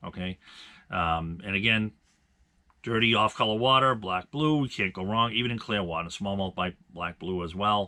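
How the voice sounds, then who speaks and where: At a fairly low pitch, a man speaks with ordinary pitch variation. His pace is moderate. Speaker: bass fishing channel host. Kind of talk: tutorial. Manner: hesitant with many fillers.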